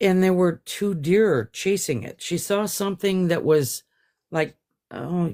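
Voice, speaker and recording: A fairly slow pace on a very clean recording with a silent background. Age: 60s. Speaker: guest sharing encounter story. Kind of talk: interview testimony. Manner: halting.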